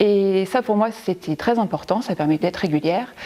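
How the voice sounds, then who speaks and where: The woman's tone is dark and mellow, and she talks at a moderate pace. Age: 40s. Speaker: primary school teacher, gym member. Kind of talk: testimony. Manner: hesitant, many fillers.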